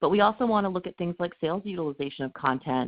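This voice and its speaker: The speaker is a woman talking at a very fast pace. Her pitch varies in an ordinary way. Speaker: marketing research analyst. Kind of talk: webinar presentation.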